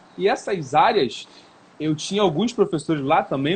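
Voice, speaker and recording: This is a man talking. His pitch sits fairly high. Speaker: personal trainer. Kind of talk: live stream conversation. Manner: fast.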